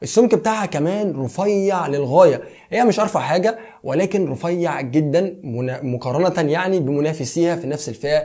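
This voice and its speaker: A man's high-pitched voice with a dark, mellow tone, lively intonation, a moderate pace and hardly any pauses, in a very clean recording with a silent background. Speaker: tech YouTuber. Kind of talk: product review.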